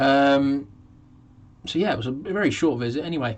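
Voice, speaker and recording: The speaker is a man. His pitch sits fairly high. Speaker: model railway youtuber. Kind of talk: live stream chat. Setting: home live stream. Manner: hesitant with fillers.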